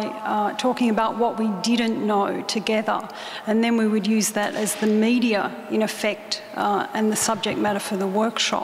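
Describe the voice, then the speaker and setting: A woman with an Australian accent, fairly high in pitch, in a monotone, flat intonation at a moderate pace with very even loudness, amid audible room echo and noticeable background noise. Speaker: artist. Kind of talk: talk to an audience. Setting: stage with audience. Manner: halting.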